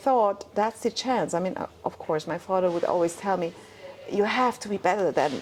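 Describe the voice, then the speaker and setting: Music behind a woman's voice, medium in pitch. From Iran, moved to Germany as a child. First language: Persian. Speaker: life coach and former dentist. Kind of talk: casual interview chat. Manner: halting, many restarts.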